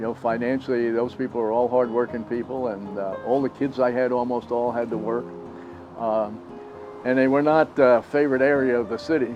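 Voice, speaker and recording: Fairly quick speech with music in the background. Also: man, medium pitch for a man. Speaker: retired teacher. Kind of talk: oral history interview answer.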